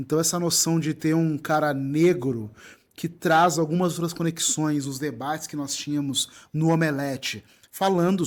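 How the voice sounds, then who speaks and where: With a southern Brazilian accent, a man speaks at a fairly high pitch and moderate pace with fairly even intonation, on a very clean recording with a silent background. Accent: gaúcho. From southern Brazil (Rio Grande do Sul). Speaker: writer, content creator and presenter. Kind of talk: interview conversation. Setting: live festival, band audible in background.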